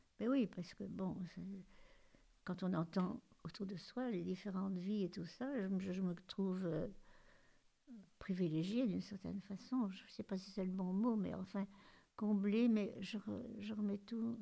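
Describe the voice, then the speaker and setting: A woman's somewhat breathy, dark and mellow voice at a fairly slow pace, with fairly even intonation and long, frequent pauses. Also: medium pitch for a woman. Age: 80s+. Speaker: grandmother. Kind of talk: interview. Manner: halting.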